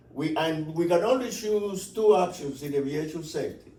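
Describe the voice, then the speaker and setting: A man with a slight Cuban accent and a high pitch, moderate pace, ordinary pitch variation, audible room echo and noticeable background noise. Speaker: aviation safety instructor. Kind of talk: seminar presentation. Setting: talk at an airport. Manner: conversational, with repetitions.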